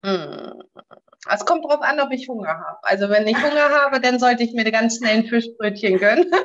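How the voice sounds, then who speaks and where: Her intonation is lively. The woman speaks at a fairly high pitch with hardly any pauses. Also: moderate pace. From northern Germany (born in Bremen). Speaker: wedding officiant. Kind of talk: casual chat. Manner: calm, relaxed.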